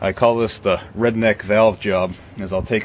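Here a man is speaking. Noticeable background noise can be heard. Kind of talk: tutorial. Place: street.

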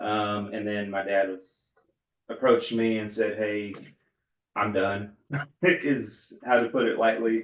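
A man talks in a strong Texas accent at a fairly low pitch. His pace is fairly slow, with long, frequent pauses. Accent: strong rural Texas. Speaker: farmer and board applicant. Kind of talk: interview. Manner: hesitant, many fillers.

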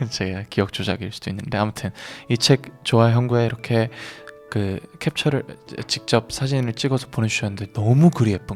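A man at a moderate pace with ordinary pitch variation and music in the background. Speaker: singer, radio host. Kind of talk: casual radio talk.

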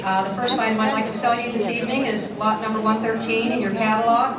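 Through noticeable background noise and audible room echo, a woman can be heard. She speaks at a very fast pace. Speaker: auctioneer. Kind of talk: item presentation to auction audience. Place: hall.

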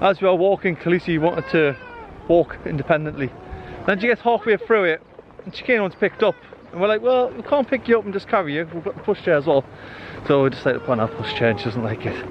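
A man talks at a very fast pace with a high pitch. The sound is dry with no echo, and there is light background noise. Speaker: family travel vlogger. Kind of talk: casual vlog chat. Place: open country. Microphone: phone near.

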